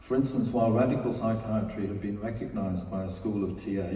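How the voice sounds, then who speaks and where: A man speaks at a moderate speed, with noticeable background noise and an audible echo in the room. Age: 70s. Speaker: psychotherapist. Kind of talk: award acceptance speech. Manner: formal.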